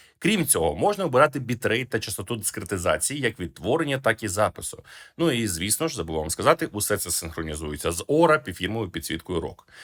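Talking at a very fast pace, a man with a medium pitch makes very wide pitch swings in a very clean recording with a silent background. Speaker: tech reviewer. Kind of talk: product review.

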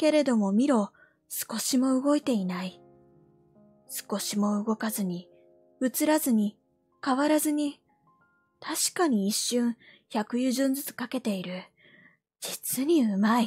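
A woman speaks at a high pitch with lively intonation, very slowly and with long, frequent pauses. Music plays in the background, and the sound is dry and close with no echo. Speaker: VTuber. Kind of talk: sleep story reading. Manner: soft-spoken, calm.

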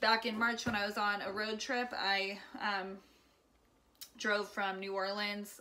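The speaker is a woman. Her tone is bright and sharp. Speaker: home cooking vlogger. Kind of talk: casual vlog chat. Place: kitchen. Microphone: phone near.

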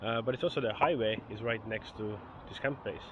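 A man's fairly low voice, fairly quick, with fairly even intonation, a dry sound with no echo and noticeable background noise. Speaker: travel vlogger. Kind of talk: casual vlog chat. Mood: calm, mixed feelings. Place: beach. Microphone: phone near.

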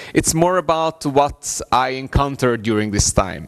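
With music in the background, a man talks at a fairly slow pace and ordinary pitch variation. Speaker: conference presenter. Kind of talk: conference talk. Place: hall.

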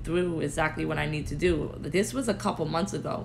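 Noticeable background noise behind a woman's moderately paced speech in an American accent. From Connecticut. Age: 20s. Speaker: spiritual healer sharing mental health experience. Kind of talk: casual interview. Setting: live recorded interview.

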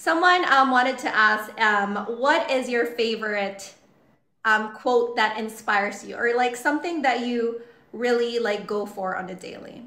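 Speaking at a fairly slow pace, a woman has a fairly high voice with ordinary pitch variation and big swings in loudness. Room echo is audible. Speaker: livestream host interviewing a guest. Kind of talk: casual chat. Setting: online livestream. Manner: animated, gushing. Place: home room.

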